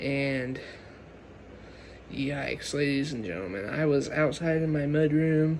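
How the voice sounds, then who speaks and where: A quiet man speaks at a fairly slow pace and fairly high pitch with ordinary pitch variation and long, frequent pauses. Audible room echo and noticeable background noise are present. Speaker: gaming and nature video creator. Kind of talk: casual vlog commentary. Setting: home at night, filming an insect.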